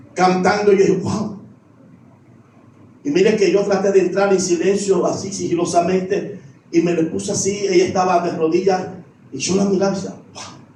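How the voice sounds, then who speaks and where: With audible room echo around him, a man speaks in a high, monotone voice with flat intonation, broken by long, frequent pauses. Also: moderate pace. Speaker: pastor. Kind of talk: sermon.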